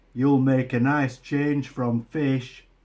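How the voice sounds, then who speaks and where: A gruff, bellowing put-on character voice with monotone, flat intonation. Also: man, medium pitch for a man. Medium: read story. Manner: gruff, roaring.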